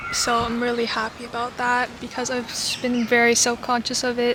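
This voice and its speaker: Moderate pace and an American accent, with noticeable background noise. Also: woman. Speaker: vlogger. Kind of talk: casual vlog talk. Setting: outdoors in a park.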